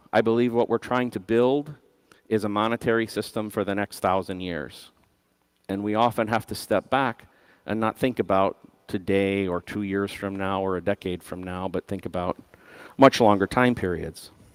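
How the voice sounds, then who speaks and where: A plain, everyday voice at a moderate pace, ordinary pitch variation, a dry, close sound with no echo, and a very clean recording with a silent background. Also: man, fairly low pitch for a man. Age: 50s. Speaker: conference speaker, system designer. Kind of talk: conference talk.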